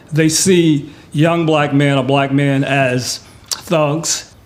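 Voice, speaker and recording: Noticeable background noise sits behind the voice. A man speaks at a fairly high pitch with fairly even intonation. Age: 60s. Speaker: community resident. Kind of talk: group discussion.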